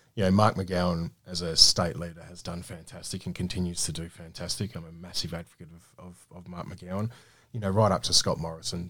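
Very deep, low-pitched man's voice in an Australian accent, at a fairly quick pace with fairly even intonation and big swings in loudness. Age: 30s. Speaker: small business owner. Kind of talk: radio interview. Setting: studio.

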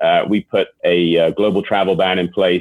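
A man with an English accent speaks at a low pitch.

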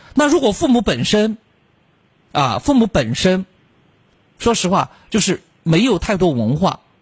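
At a fairly slow pace, a man with a high pitch speaks with very wide pitch swings, and the sound is dry and close with no echo. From Chongqing, China. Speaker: late-night radio host. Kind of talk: late-night call-in radio.

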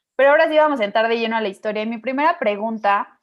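In a Mexican accent, a woman with a fairly high pitch speaks with lively intonation. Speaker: podcast host. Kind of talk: interview.

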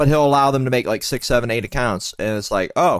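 A man's unremarkable speaking voice, medium in pitch with ordinary pitch variation. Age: 30s. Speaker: podcast co-host. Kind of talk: casual chat.

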